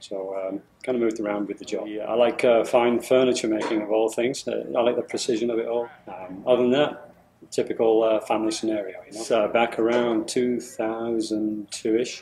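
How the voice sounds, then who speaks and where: The speaker has a British accent and monotone, flat intonation. Loudness swings widely at a fairly quick pace. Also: man, medium pitch for a man. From England. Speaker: engineer. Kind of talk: testimonial interview. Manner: halting, many fillers and repetitions.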